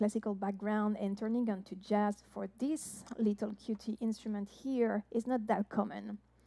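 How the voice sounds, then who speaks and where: A woman with a French accent has a dark, mellow tone. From France. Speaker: jazz harpist and singer. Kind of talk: live-stream show introduction. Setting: online live-stream show. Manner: hesitant, many fillers.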